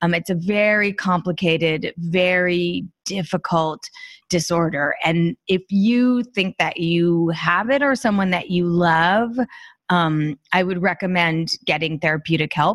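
On a very clean recording with a silent background, a woman with a plain, everyday voice speaks at a fairly low pitch, with ordinary pitch variation and very even loudness. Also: fairly slow pace, dry, close sound with no echo. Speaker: author and professional organizer. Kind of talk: interview conversation.

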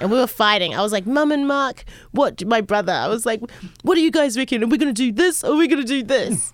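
A woman speaks very fast in an American accent. Her pitch is high and her intonation lively. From New Zealand (Auckland). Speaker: music producer and DJ. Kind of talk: casual interview chat. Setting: studio.

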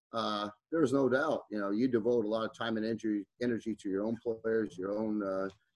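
With an Upper Midwest accent, a man talks with ordinary pitch variation in a dry, close recording with no echo. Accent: Upper Midwest (Minnesota). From northern Minnesota, Iron Range. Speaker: high school basketball coach. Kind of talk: podcast interview.

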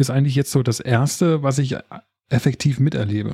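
Ordinary pitch variation runs through the dark, mellow tone of a man's voice. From Berlin area. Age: 30s. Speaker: podcast co-host, expectant father. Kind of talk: casual chat.

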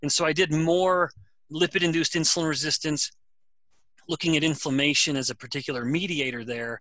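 Using a plain, everyday voice, a man talks at a fairly quick pace in a fairly high pitch with ordinary pitch variation. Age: middle-aged. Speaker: professor, researcher. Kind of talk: interview.

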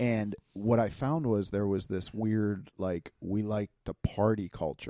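A man with an American accent and a dark, mellow tone, fairly low in pitch, at a fairly slow pace with hardly any pauses and ordinary pitch variation, in a dry, close sound with no echo. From Pittsburgh, US. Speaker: podcast co-host. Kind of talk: casual chat.

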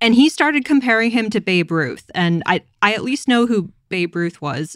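This woman has a plain, everyday voice, talking at a moderate pace with lively intonation. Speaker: podcast host. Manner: joking, teasing.

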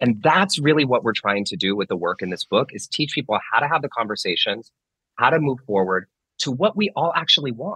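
This man talks at a fairly quick pace in a fairly high, bright, sharp voice with vocal fry. His pitch swings very widely, and the sound is dry and close with no echo. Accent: American. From Northern California. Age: 30s. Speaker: author and meditation teacher. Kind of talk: interview.

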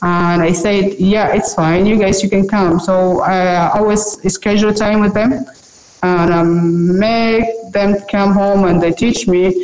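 Very slowly, a woman speaks at a medium pitch with fairly even intonation and very even loudness. Noticeable background noise runs underneath. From South Sudan / Sudan, moved to Uganda as a child. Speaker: online university student. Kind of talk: interview. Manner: halting, many fillers and restarts.

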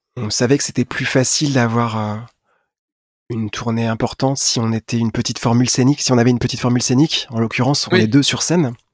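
The delivery comes at a very fast pace with fairly even intonation. The sound is dry and close, with no echo. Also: man, medium pitch for a man. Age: 40s. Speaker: singer-songwriter. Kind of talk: interview. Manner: hesitant.

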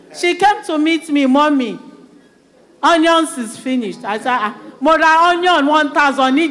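The speech is very slow, with long, frequent pauses and lively intonation. Noticeable background noise and audible room echo come through. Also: woman. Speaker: church member. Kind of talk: interactive church service sharing.

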